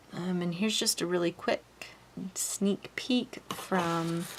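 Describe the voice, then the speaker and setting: A woman talks with fairly even intonation against noticeable background noise. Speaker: knitter and pattern designer. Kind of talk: casual talk to camera.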